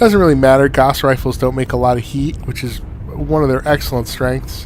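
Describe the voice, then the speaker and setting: Noticeable background noise sits behind a man whose intonation is fairly even. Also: medium pitch for a man, fairly quick pace. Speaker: gaming commentator. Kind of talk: gameplay commentary. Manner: hesitant, many fillers.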